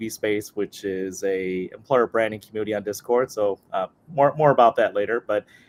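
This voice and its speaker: A man with an American accent speaks at a fairly quick pace, with fairly even intonation and a plain, everyday voice. His medium pitch comes through in a dry, close sound with no echo. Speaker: employer branding lead. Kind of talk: panel webinar discussion.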